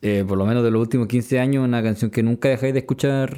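This man's voice has a dark, mellow tone. He speaks with a Chilean accent. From Chile, Concepción. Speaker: podcast co-host, music reviewer. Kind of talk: casual chat.

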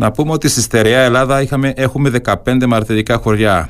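A man talks in an ordinary speaking voice. His pitch varies in an ordinary way. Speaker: radio host. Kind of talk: radio interview. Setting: studio.

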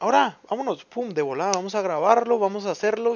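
A man talks with a Mexican accent. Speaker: podcaster. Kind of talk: casual monologue. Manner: talkative; animated.

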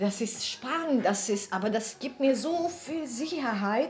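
A woman speaks in a high voice with lively intonation at a moderate pace. Noticeable background noise can be heard. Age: 40s. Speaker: podcast co-host. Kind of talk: casual chat. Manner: hesitant, many fillers.

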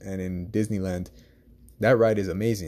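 Dark and mellow in tone, the voice moves at a moderate pace with fairly even intonation on a very clean recording with a silent background. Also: man. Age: 20s. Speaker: fan podcast host. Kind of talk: casual monologue. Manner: halting with many fillers.

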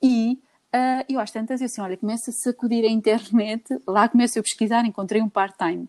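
In a normal speaking voice, a woman talks with a fairly high pitch and fairly even intonation. The sound is dry and close with no echo, and the background is quiet. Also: fairly quick pace. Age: 40s. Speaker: businesswoman. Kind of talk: casual chat.

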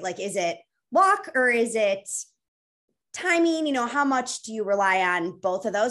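With an American accent, a woman speaks at a fairly high pitch with very wide pitch swings against a quiet background. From US Midwest. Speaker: food company co-founder. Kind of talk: casual interview.

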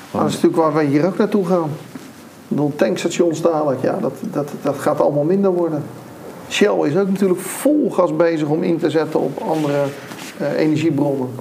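Room echo and clear background noise accompany a man who talks fairly fast. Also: fairly high pitch for a man, ordinary pitch variation. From Netherlands, Rotterdam area (Nieuwerkerk aan den IJssel). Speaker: lease specialist and entrepreneur. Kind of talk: casual interview. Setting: in-person recording with camera.

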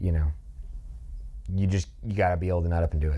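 With a dark, mellow tone and a very deep, low pitch, a man speaks at a fairly quick pace. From Kentucky. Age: 20s. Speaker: helicopter flight instructor. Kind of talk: casual chat.

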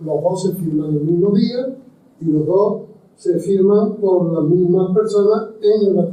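At a fairly slow pace, a man with a high pitch speaks with very even loudness. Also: ordinary pitch variation. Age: 80s+. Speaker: historian and lecturer. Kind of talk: lecture. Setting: university lecture hall with audience.

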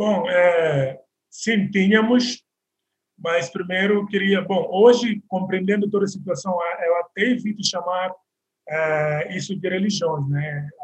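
Speaking very slowly, a man holds a high pitch with ordinary variation. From Guinea-Bissau, Bissau. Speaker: actor and model. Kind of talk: interview.

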